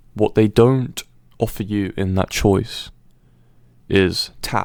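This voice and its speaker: A man is speaking. His pace is very slow. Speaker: presenter on persuasion psychology. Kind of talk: educational talk. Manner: hesitant, many fillers.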